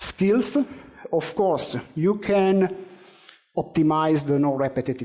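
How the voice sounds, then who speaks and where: Speaking very slowly with an Italian accent, a man with a fairly high pitch and a dark, mellow tone shows ordinary pitch variation. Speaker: conference speaker on AI. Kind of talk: conference presentation; audience Q&A answer. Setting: conference stage with audience. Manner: hesitant, many fillers.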